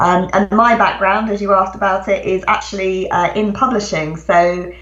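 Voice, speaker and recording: A woman talks with a British accent in monotone, flat intonation at medium pitch. There is audible room echo and noticeable background noise. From England. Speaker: author. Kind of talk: interview.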